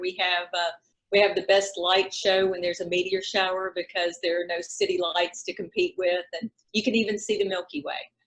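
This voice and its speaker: The speaker moves at a fairly quick pace. There is a South Carolina accent. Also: woman. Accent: Southern, South Carolina. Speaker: realtor. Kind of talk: interview.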